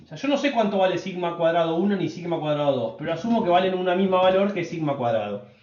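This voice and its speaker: A man's high-pitched voice with audible room echo. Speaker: statistics teacher. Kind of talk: lecture. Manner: fast.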